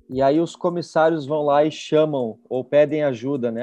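Over music in the background, a man with a fairly high voice talks at a moderate pace. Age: 20s. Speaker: pastor. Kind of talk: casual chat. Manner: animated.

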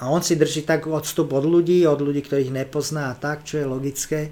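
Intonation is flat and monotone at a moderate pace. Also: man. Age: 50s. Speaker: comedian. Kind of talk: casual chat.

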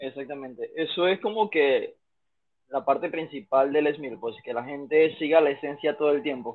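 A man talks at a moderate pace with a fairly high pitch and ordinary pitch variation. He has an ordinary speaking voice. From Panama. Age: 20s. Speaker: fitness instructor. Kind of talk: casual interview.

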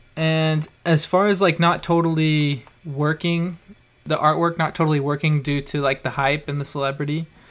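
Using a flat, monotone delivery, a man with an American accent speaks at a moderate pace with a fairly high pitch. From Idaho. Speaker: podcast host. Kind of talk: casual chat.

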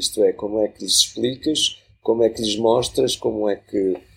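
Here a man speaks at a moderate pace. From Portugal, Lisbon. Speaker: journalist and radio producer. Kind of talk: casual interview conversation. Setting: studio.

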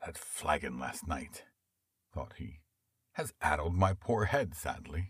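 This man's voice is very deep and low, with vocal fry and lively intonation. He talks at a very slow pace, leaving long, frequent pauses. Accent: American. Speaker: audiobook narrator. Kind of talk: literary audiobook narration. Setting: studio. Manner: smooth, measured storytelling pace; expressive, shifting tone for dialogue.

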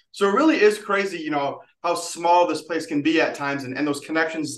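The man speaks at a high pitch. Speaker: radio host, alumni office staff. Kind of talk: radio interview.

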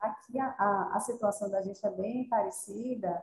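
A woman speaks at a fairly high pitch, somewhat breathy, with a dark, mellow tone. Her pitch variation is ordinary. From Salvador, Bahia, Brazil. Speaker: physiotherapist. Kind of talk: online panel discussion. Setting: video call.

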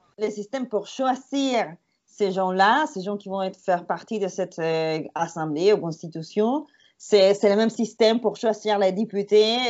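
Using ordinary pitch variation, a woman with a Spanish accent talks at a fairly slow pace and a medium pitch. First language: Spanish (speaking French). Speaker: tour guide and podcast co-host. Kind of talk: casual chat. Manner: halting.

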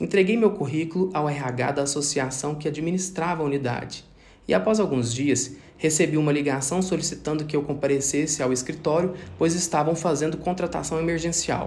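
A man's somewhat breathy, fairly high voice with audible room echo. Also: ordinary pitch variation, fairly quick pace. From Brazil, Minas Gerais (Triângulo Mineiro). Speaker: pharmacist. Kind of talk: scripted narration. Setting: home recording.

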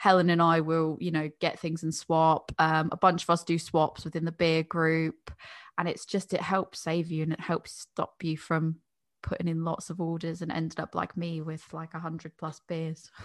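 In an American accent, a woman speaks at a moderate pace with a fairly low, monotone, flat delivery over a quiet background. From United States. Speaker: beer podcaster. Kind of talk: casual chat.

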